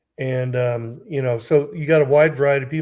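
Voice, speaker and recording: A man with a fairly high pitch talks at a moderate pace, with ordinary pitch variation. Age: 60s. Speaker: game community player, guest. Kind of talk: casual chat. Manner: halting, many fillers.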